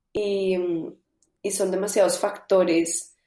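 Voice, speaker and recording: Medium in pitch, this woman's voice has a dark, mellow tone. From Colombia. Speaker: singer-songwriter. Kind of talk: interview.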